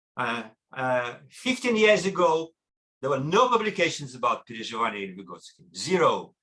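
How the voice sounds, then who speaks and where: A fairly high male voice with a bright, sharp tone and vocal fry, very wide pitch swings, big swings in loudness and a moderate pace. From Russia. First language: Russian. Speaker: lecturer. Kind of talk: lecture. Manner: animated.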